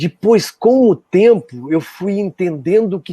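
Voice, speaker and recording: The man's tone is dark and mellow, with lively intonation. The sound is dry and close, without echo. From Brazil, interior of Rio Grande do Sul (border region). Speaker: musician. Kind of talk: interview, casual reminiscing. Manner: halting, with frequent fillers and restarts.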